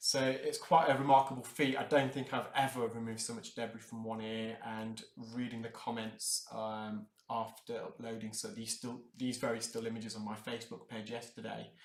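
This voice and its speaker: A man in an English accent speaks at a moderate pace with monotone, flat intonation and big swings in loudness. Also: medium pitch for a man. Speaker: earwax removal specialist. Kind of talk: live unscripted narration of procedure. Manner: hesitant, many fillers.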